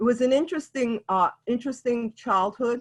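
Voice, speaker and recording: A woman in a New York accent, at a moderate pace with ordinary pitch variation. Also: quiet background. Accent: New York City. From New York City (East Harlem, South Bronx). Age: 70s. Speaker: elder storyteller. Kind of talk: oral history storytelling. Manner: halting with frequent fillers.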